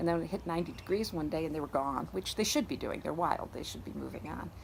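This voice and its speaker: A woman speaks very fast with a very deep, low pitch and vocal fry. Her intonation is lively. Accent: upstate New York. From upstate New York (Syracuse area). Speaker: garden owner. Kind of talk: interview. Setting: outdoors in a garden. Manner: halting, with many repeats and fillers.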